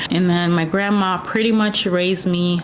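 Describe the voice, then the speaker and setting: There is a woman speaking with a fairly low pitch and ordinary pitch variation. Audible room echo and noticeable background noise surround her voice. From Jamaica. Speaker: YouTuber sharing faith testimony. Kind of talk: testimony. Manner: casual, conversational.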